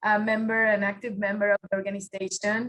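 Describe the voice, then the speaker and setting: Fairly quick and flat, a woman with a Puerto Rican accent talks in a bright, sharp tone with monotone intonation. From Puerto Rico. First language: Spanish. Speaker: automotive engineer, workshop presenter. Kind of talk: webinar presentation.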